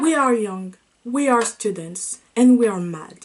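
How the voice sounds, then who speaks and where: With a French accent, the speaker goes at a fairly slow pace with lively intonation. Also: woman. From France. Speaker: student video essayist. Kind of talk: video essay narration.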